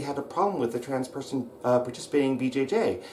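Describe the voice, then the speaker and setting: Noticeable background noise runs behind a man speaking at a medium pitch with an American accent. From US Pacific Northwest (Roseburg, Oregon). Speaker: wrestling coach / channel host. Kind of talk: angry vlog rant. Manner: shouting; hesitant fillers (um, uh).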